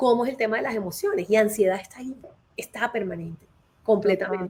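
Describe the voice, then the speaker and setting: Somewhat breathy, a woman talks at a very fast pace with big swings in loudness. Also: fairly high pitch for a woman, ordinary pitch variation. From Colombia. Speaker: HR consultant and career advisor. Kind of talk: live interview.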